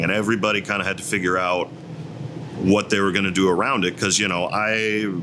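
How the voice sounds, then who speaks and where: This man has an American accent and a fairly low pitch. He talks very fast with fairly even intonation over noticeable background noise. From Northwest Indiana, US Midwest. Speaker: singer-songwriter. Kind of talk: interview. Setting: in a bar. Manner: casual, hesitant with fillers.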